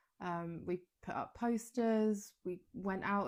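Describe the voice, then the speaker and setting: A woman with a British accent, in a very clean recording with a silent background. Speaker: wellness coach podcaster. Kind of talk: casual podcast monologue. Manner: hesitant, lots of ums and pauses.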